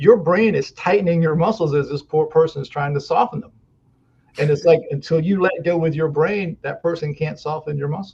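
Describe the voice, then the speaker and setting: A man has a normal speaking voice, fairly high in pitch, with ordinary pitch variation, big swings in loudness and a fairly quick pace. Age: 60s. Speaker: muscle therapist. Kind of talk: podcast interview. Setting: podcast interview.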